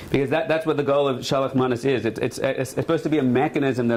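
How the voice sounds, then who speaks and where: A man at a very fast pace with fairly even intonation, plus noticeable background noise and audible room echo. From Australia. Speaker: rabbi. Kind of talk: lecture. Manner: casual, humorous.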